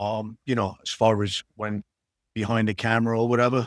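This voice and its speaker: With a strong New York accent, a man speaks at a moderate pace in a dry, close sound with no echo. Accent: strong old-school New York. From New York City, Queens. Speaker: actor. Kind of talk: casual interview chat. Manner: halting, many fillers.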